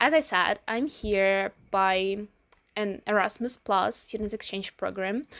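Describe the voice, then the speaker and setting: A woman's medium-pitched voice, bright and sharp in tone, fairly slow, with a dry, close sound and no echo. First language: Ukrainian or Russian. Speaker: student vlogger. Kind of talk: informational vlog. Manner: hesitant, with fillers.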